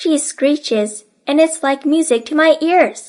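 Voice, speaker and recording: Speaking at a fairly slow pace, a woman puts on a character voice pitched high. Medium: read story.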